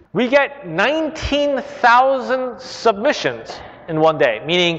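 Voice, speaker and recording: A man is speaking. He has a Korean accent. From Korea, then China, then California. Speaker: CEO and speaker. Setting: library stage with audience.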